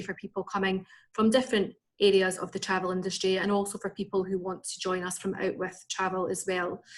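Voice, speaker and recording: A woman with a Scottish accent at medium pitch and a fairly quick pace. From Scotland, Edinburgh. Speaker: recruitment and sales manager. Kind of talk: business presentation. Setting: video call.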